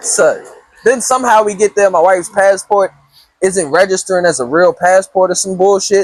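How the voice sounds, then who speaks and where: A man at a high pitch with an animated tone, ordinary pitch variation and a moderate pace, dry and close with no echo, music in the background. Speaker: podcast host. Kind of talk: casual chat.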